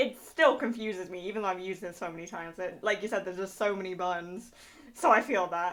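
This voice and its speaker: A woman speaks at a fairly quick pace. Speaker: vtuber streamer hosting a talk show. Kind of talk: casual interview chat. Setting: live stream, Discord call. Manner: loud.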